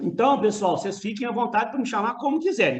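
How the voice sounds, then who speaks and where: A man with a Minas Gerais accent speaks at a fairly quick pace with lively intonation. Room echo is audible. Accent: mineiro. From Minas Gerais, Brazil. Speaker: university professor. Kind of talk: lecture. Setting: video call; home studio. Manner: casual, conversational.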